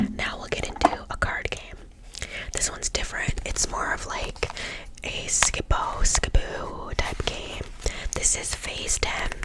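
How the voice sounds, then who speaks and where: Noticeable background noise fills the clip. Over it, a woman whispers fairly slowly. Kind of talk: ASMR board game show-and-tell, casual talk to camera. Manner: casual, friendly, chatty.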